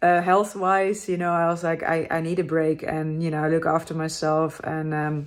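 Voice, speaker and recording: Someone with a Dutch accent speaks in a monotone, flat way at a moderate pace with hardly any pauses. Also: woman. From Netherlands. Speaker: motorcycle travel vlogger. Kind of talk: casual vlog to camera.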